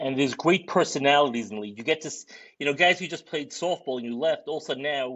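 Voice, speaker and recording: In a strong Brooklyn accent, a man talks at a very fast pace with a fairly high pitch, ordinary pitch variation and big swings in loudness. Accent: thick Brooklyn. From Brooklyn, New York (Borough Park). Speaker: sports league organizer, podcast co-host. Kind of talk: casual podcast chat. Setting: live podcast.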